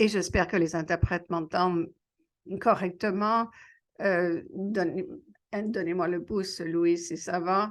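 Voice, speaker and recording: Speaking at a very slow pace with long, frequent pauses, a woman uses a medium pitch. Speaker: panelist. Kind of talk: panel discussion. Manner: halting, many hesitations.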